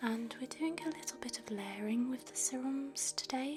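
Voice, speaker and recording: Soft-spoken and calm in tone, the voice comes over music in the background. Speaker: facialist / ASMR therapist. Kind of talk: soft-spoken ASMR treatment narration. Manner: soft-spoken, calm.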